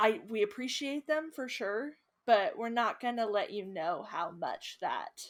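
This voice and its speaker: The recording is very clean and the background silent as a woman talks at a moderate speed. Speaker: youtube co-host. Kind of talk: casual chat. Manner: animated.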